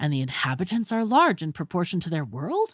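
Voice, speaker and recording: A woman's put-on character voice, fairly low in pitch, anxious in tone, at a fairly quick pace. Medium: read story. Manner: excitable, anxious.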